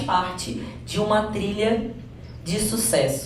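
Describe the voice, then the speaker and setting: A woman with a Rio de Janeiro accent speaks in an animated tone at a medium pitch, with audible room echo and noticeable background noise. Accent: carioca. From Rio de Janeiro, Brazil. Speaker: coaching trainer. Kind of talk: motivational training seminar.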